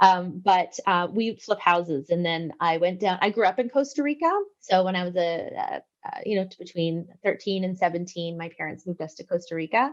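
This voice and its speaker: A woman with a Canadian accent uses a normal speaking voice at medium pitch, talking at a fairly quick pace with ordinary pitch variation and big swings in loudness. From Canada. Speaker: business owner. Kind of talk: interview.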